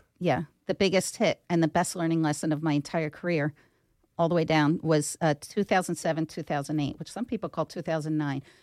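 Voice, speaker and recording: A woman with an American accent speaks at a fairly quick pace in a very deep, low pitch, her intonation fairly even, on a very clean recording with a silent background and a dry, close sound with no echo. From Philadelphia (Northeast Philadelphia). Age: 50s. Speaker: business owner, HR company CEO. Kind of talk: interview.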